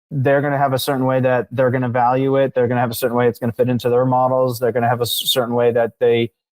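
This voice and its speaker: A man speaks at a very fast pace with monotone, flat intonation. His loudness stays very even. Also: medium pitch for a man. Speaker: marketing agency founder, podcast guest. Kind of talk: interview.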